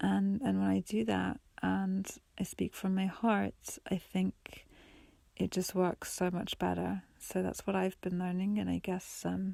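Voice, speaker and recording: Soft-spoken and very even in loudness, a woman talks at a fairly slow pace. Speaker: solo podcaster. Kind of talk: reflective monologue. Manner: halting.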